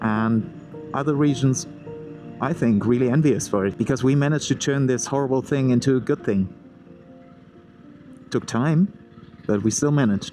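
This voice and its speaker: Music plays in the background as a man talks at a moderate pace. He leaves long, frequent pauses. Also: medium pitch for a man, ordinary pitch variation. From Germany, Ruhr area. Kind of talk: motovlog narration to camera. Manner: casual, conversational.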